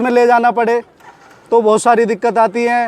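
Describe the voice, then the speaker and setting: Crowd noise fills the background. A man speaks at an extremely high pitch. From western Uttar Pradesh, near Noida. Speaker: villager. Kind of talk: interview testimony.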